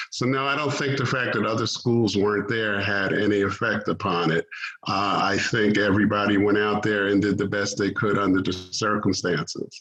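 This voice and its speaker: With a normal speaking voice, a man at a fairly low pitch talks at a moderate pace, with fairly even intonation and very even loudness. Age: 60s. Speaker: track meet director and coach. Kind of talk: radio interview.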